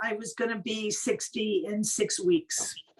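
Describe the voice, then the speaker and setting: A woman speaks in an American accent at a fairly slow pace. Noticeable background noise can be heard. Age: 70s. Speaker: plant-based cooking teacher. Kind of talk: interview.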